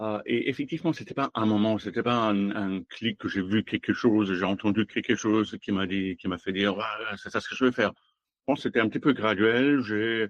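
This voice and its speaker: A man with a German accent speaks at a fairly quick pace in a fairly low pitch with ordinary pitch variation, the sound dry and close with no echo over a quiet background. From Germany. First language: German (speaking French). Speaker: automotive design executive. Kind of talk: interview. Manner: halting.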